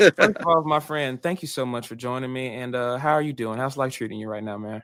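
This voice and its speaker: A man with a Southern US accent, medium-pitched, fairly quick, with ordinary pitch variation and big swings in loudness. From Arkansas. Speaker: podcast host. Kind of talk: podcast interview. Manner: animated.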